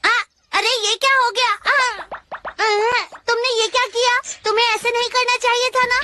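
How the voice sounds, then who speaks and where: In a put-on character voice of extremely high pitch, the speaker goes at a moderate pace broken by long, frequent pauses. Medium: fan dub. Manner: excitable, boastful.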